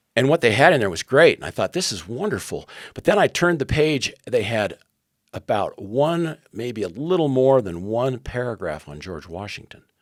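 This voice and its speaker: A man with a medium pitch and vocal fry speaks at a moderate pace, with very wide pitch swings and big swings in loudness. The recording is very clean with a silent background, and the sound is dry and close with no echo. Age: 70s. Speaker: former intelligence officer turned education activist. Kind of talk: interview conversation. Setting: podcast interview. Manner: halting, with restarts.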